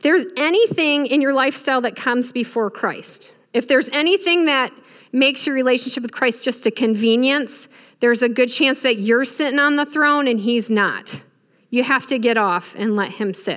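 An animated tone in a Midwestern American accent. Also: woman, high pitch for a woman, ordinary pitch variation, moderate pace, very clean recording, silent background. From Michigan. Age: 40s. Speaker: guest preacher. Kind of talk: sermon.

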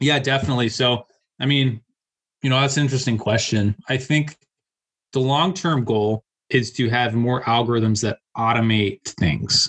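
A man in a plain, everyday voice talks at a moderate pace and medium pitch, with ordinary pitch variation and very even loudness. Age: 20s. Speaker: data analyst. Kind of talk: interview.

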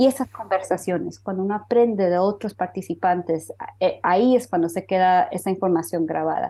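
A dark, mellow tone carries the words at a fairly quick pace. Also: woman, medium pitch for a woman, ordinary pitch variation. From Honduras, raised in the US from age three. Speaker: cancer researcher and health tech entrepreneur. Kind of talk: interview.

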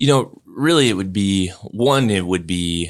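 Over a very clean recording with a silent background, a man with a Midwestern American accent speaks at a very deep, low pitch, with a bright, sharp tone and ordinary pitch variation. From western Illinois. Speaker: career center director. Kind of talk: interview.

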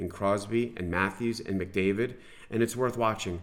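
Man with an ordinary speaking voice and an American accent, fairly low pitch, fairly even intonation and a fairly quick pace. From New York, US. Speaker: sports podcast co-host, hockey expert. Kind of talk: casual chat. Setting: studio.

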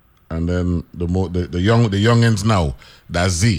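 Very slow and very deep, a man's low-pitched voice comes through in an American accent. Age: 50s. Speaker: radio host. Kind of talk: casual chat.

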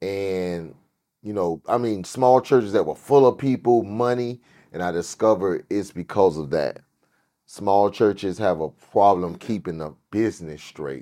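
A man with an American accent and a fairly low pitch, a dark, mellow tone, a fairly slow pace and a quiet background. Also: ordinary pitch variation. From US South, Miami, Florida. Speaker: pastor. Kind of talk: casual chat.

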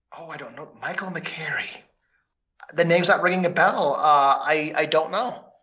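The American-accented speaker keeps a fairly even intonation while loudness swings widely, with audible room echo around the voice. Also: man, high pitch for a man, moderate pace. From Minnesota. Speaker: trivia contestant. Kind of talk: casual game-show chat.

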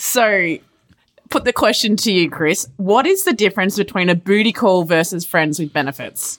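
In an Australian accent, a woman speaks at a medium pitch and a moderate pace with ordinary pitch variation. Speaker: podcast host. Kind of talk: casual chat.

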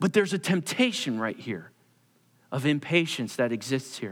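Here is a man with an American accent and an unremarkable speaking voice. His pitch is fairly high and his pace fairly slow. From Pennsylvania, US (Perkasie). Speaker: pastor. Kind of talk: sermon.

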